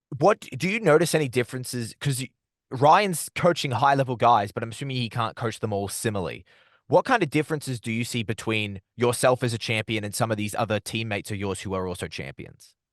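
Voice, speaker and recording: Very fast, lively speech in an Australian accent, dry and close with no echo, against a quiet background. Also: man, medium pitch for a man. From Australia, Melbourne. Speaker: combat sports interviewer. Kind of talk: interview.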